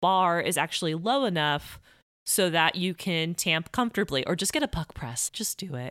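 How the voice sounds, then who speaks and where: In a normal speaking voice, a woman with an American accent talks at a moderate pace and a fairly low pitch, the sound dry and close with no echo on a very clean recording with a silent background. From Miami, Florida. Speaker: podcast host. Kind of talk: interview conversation.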